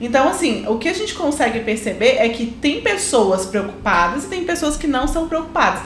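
At a moderate pace and with hardly any pauses, a woman's high pitch makes very wide swings over music in the background, with audible room echo. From Belo Horizonte, Minas Gerais, Brazil. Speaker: civil engineer, podcast co-host. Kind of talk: casual chat.

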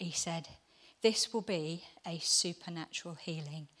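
A woman speaking at a fairly slow pace. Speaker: church member giving testimony. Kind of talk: testimony. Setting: church gathering with audience.

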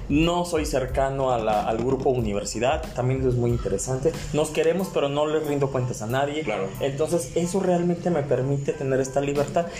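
Over music in the background and audible room echo, a man speaks at a fairly quick pace in a fairly high pitch with ordinary pitch variation. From Mexico, Guadalajara (Jalisco). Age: 30s. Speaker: politician and communications professional. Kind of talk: interview. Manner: halting, with frequent repetitions.

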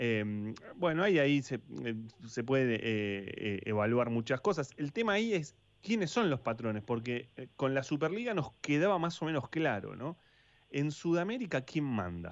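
Speaking at a fairly slow pace, the man has a medium pitch with very wide pitch swings. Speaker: sports radio host. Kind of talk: radio talk show. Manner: halting, many fillers.

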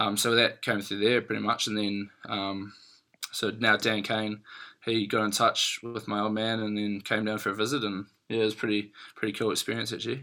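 A man with a New Zealand accent speaks at a fairly quick pace in a fairly low pitch, his tone bright and sharp. His intonation is monotone and flat, and the recording is very clean with a silent background. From New Zealand, Christchurch. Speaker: professional rugby player. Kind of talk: casual interview chat.

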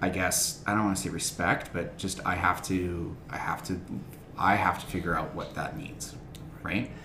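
With noticeable background noise behind him, a man speaks at a moderate pace in a very deep, low pitch and fairly even intonation. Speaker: substitute teacher. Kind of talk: casual chat.

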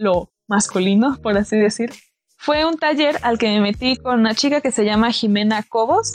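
A woman talks at a moderate pace with a fairly high pitch. Music plays in the background. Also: dry, close sound with no echo. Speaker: radio host. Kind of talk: poem reading aloud, then conversational hosting. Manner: earnest, declamatory, impassioned.

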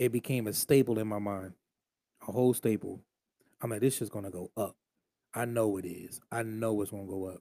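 A man's fairly low, dark, mellow voice at a fairly quick pace with long, frequent pauses, in a very clean, dry, close recording with a silent background and no echo. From Philadelphia area, Delaware County, Pennsylvania. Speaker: podcast host. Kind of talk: casual monologue. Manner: animated.

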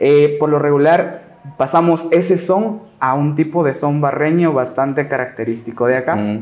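At a moderate pace, a man talks with a Guatemalan accent. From Guatemala, Lake Atitlán (San Juan La Laguna, Sololá). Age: 20s. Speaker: marimba player and music teacher. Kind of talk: casual interview.

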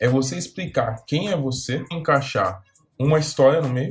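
A man with an unremarkable speaking voice talks at a moderate speed, his pitch varying in an ordinary way. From Brazil, São Paulo. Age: 20s. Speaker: career coach youtuber. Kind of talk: video tutorial.

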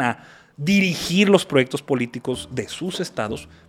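A man with an unremarkable speaking voice, fairly slow in pace and lively in intonation. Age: 30s. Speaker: political activist and spokesman. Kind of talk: interview.

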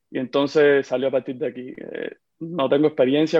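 A man with a Havana Cuban accent talks in a fairly high pitch with monotone, flat intonation. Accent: Havana Cuban Spanish, slowed down on purpose. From Cuba, Havana. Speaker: psychiatrist. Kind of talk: interview conversation. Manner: fast, clipping words.

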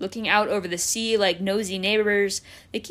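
Fairly even intonation throughout a plain reading aloud.

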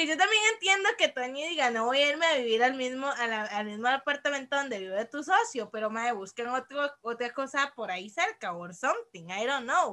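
A woman raises and projects her high-pitched voice at a moderate pace. Her pitch swings very widely. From Costa Rica, San José (Desamparados). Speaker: podcast co-host. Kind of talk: casual chat. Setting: remote recording.

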